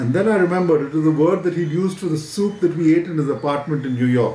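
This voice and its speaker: A man at a fairly quick pace with ordinary pitch variation and audible room echo. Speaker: writer reading a favorite book passage. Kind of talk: literary audiobook reading, read aloud from a book. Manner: measured, storytelling pace, clear and conversational; casual, friendly, slightly hesitant with fillers in intro. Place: home room.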